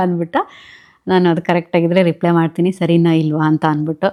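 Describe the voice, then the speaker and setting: The speaker is a woman. Her pitch sits fairly low. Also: very clean recording, silent background. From southern Karnataka, India (Mandya district). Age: 30s. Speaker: vlogger. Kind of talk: Q&A vlog, reading viewer comments. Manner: chatty.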